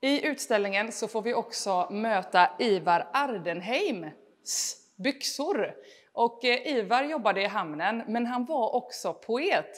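A woman's fairly high voice at a very slow pace, with lively intonation over a quiet background. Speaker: comedian and event host. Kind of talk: stand-up style hosting of an exhibition opening. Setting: digital event inside museum exhibition. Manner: animated, joking. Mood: light, joking. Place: hall.

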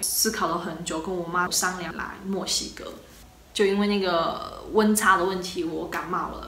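At a moderate pace, the speech carries audible room echo and light background noise. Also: woman. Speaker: travel vlogger. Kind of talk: casual vlog monologue. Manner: animated, chatty. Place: home room. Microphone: phone near.

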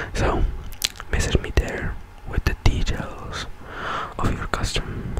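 Amid loud background noise, a soft-spoken man whispers, the sound dry with no echo. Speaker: ASMR content creator. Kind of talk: soft ASMR channel announcement. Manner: soft close-mic ASMR whisper. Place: home room. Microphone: studio mic.

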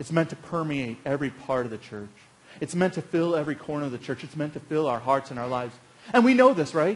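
A man's very fast speech. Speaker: pastor. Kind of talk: sermon. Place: church.

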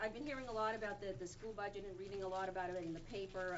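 Noticeable background noise behind a woman's voice. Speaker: parent giving public comment. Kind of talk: public comment speech. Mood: concerned, firm. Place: meeting room. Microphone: camera far.

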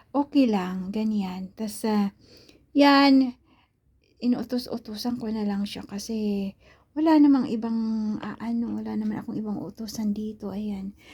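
Somewhat breathy female speech, dark and mellow yet fairly high-pitched, fairly slow, with big swings in loudness. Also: ordinary pitch variation. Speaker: vlogger. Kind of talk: casual vlog monologue. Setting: at home, indoors. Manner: halting.

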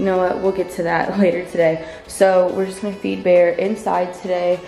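A woman speaks with faint music behind her and audible echo from the room. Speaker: vlogger. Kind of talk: casual vlog chat. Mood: cheerful, laughing. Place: home room. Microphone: phone near.

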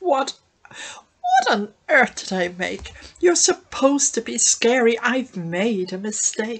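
This is a put-on character voice, female-sounding and shrill. She speaks at a fairly slow pace with a fairly high pitch. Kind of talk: children's story reading. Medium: read story. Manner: snappish, bossy, threatening.

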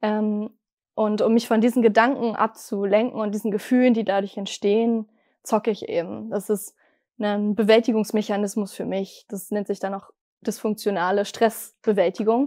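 Against a quiet background, a woman with a dark, mellow tone and fairly high pitch speaks at a moderate pace in a monotone, flat intonation. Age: 20s. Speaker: person recovering from gaming addiction. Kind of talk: personal testimony interview. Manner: hesitant with frequent fillers. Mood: calm, reflective, personal. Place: studio.

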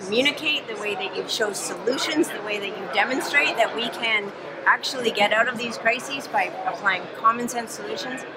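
Ordinary pitch variation over loud background noise. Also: woman. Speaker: politician. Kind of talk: interview answer. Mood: warm, appreciative. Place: hall.

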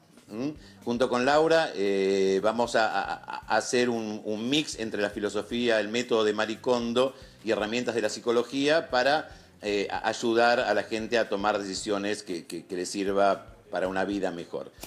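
A man talks at a moderate pace, his pitch fairly low and varying in an ordinary way. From Argentina. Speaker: psychologist; guest. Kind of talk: TV interview. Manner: halting. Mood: serious, concerned. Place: home room.

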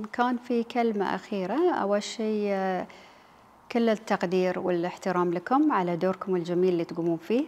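A woman speaks in a Bahraini accent at a moderate pace. Her loudness stays very even, and her pitch varies in an ordinary way. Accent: Bahraini Gulf Arabic. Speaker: TV presenter; interviewee. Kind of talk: interview. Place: office.

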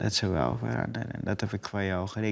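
Over a quiet background, a man talks at a fairly low pitch with ordinary pitch variation. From Suriname. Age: 20s. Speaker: actor. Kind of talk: casual conversation. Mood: calm, earnest, sometimes smiling. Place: studio.

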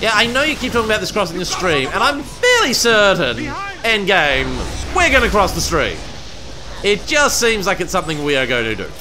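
A raised, projected voice moves at a fairly quick pace with very wide pitch swings, with music in the background. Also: man, high pitch for a man. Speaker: let's play gamer. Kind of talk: let's play game commentary. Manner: friendly, polite.

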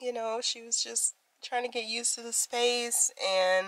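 Against a quiet background, a woman speaks with fairly even intonation in dry sound with no echo. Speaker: vlogger. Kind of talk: casual vlog chat. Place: home room. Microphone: phone near.

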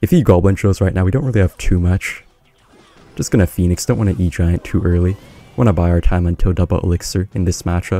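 The speech runs at a very fast pace with a fairly even intonation. The sound is dry and close with no echo, and music plays in the background. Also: man, very deep, low pitch for a man. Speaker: gaming youtuber. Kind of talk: gameplay commentary. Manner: casual, laughing.

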